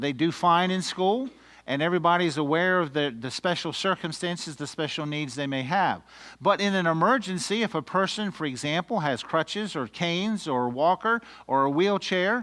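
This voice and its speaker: A man's high-pitched voice with an American accent, bright and sharp in tone, lively intonation, moderate pace, and a very clean recording over a silent background. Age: 60s. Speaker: educator workshop trainer. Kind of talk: lecture. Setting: room with audience.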